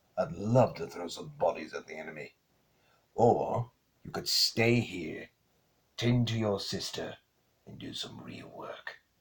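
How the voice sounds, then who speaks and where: This man puts on a character voice. He keeps to a moderate tempo. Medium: fan dub. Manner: gruff, dry.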